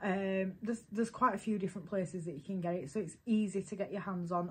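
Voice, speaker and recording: A woman's somewhat breathy, medium-pitched voice at a very fast pace, with ordinary pitch variation. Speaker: beauty vlogger. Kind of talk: product unboxing review. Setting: at home, baby sleeping nearby. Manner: quieter than normal; casual, many fillers.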